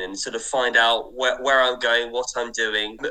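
A man speaks with an English accent. Noticeable background noise runs underneath. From southern England, Kent. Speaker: historical researcher and writer. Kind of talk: radio interview. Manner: hesitant, with fillers.

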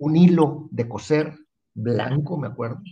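A man's somewhat breathy voice with a dark, mellow tone. His pitch sits fairly high, with ordinary variation. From Mexico, Tampico, Tamaulipas. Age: 60s. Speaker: TV fishing show host and professional angler. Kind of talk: interview.

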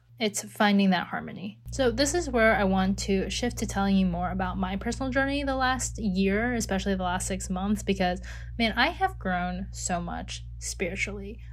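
A woman at a moderate pace with hardly any pauses, amid audible room echo. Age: 20s. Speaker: life coach podcast host. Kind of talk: solo podcast monologue. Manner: casual, filler-heavy.

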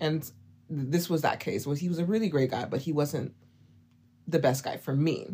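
A woman's very deep, low, somewhat breathy voice with a dark, mellow tone and an American accent, at a moderate pace with ordinary pitch variation and long, frequent pauses. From Oklahoma. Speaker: fragrance content creator. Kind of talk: casual interview chat.

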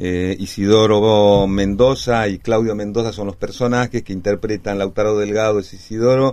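At a moderate pace, a man talks in a dark, mellow tone with fairly low pitch and fairly even intonation. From Peru, Cusco. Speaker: actor. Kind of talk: interview. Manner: halting.

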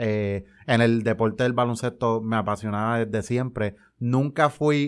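A man's plain, everyday voice at medium pitch, fairly slow and fairly even in intonation, against a quiet background. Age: 20s. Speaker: community sports league organizer. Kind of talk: interview.

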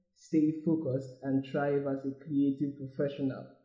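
Somewhat breathy and dark, mellow in tone, the voice moves at a moderate pace with flat, monotone intonation. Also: man. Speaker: podcast host. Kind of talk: interview.

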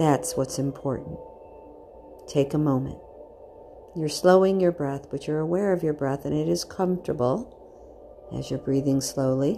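Speaking in a very deep, low pitch at a moderate pace, a woman leaves long, frequent pauses and uses ordinary pitch variation over noticeable background noise. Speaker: meditation guide. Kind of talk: guided meditation. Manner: gentle, reassuring, instructive.

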